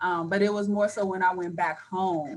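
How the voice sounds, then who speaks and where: Speaking at a moderate pace and medium pitch, a woman has an unremarkable speaking voice. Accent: American. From Chicago. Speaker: college track and field coach. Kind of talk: panel discussion. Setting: video call.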